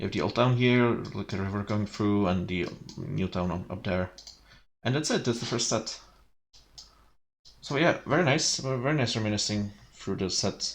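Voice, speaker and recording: A man with a Czech accent speaks at a moderate pace in a fairly low pitch. His pitch varies in an ordinary way, with long, frequent pauses. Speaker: streamer. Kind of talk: casual chat. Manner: halting.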